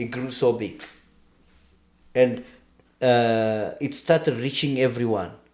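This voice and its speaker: A man with an Ethiopian accent, medium pitch and ordinary pitch variation. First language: Amharic. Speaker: podcast guest discussing history. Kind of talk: casual conversation. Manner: halting.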